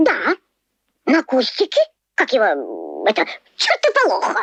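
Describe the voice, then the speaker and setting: A cartoonish character voice, high-pitched, at a moderate pace. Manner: halting, full of hesitations.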